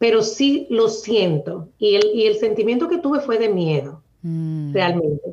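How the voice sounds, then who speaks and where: The voice is somewhat breathy and moves at a fairly slow pace. Its pitch swings very widely. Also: woman. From Dominican Republic, Santo Domingo. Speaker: cloud technology architect. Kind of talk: interview.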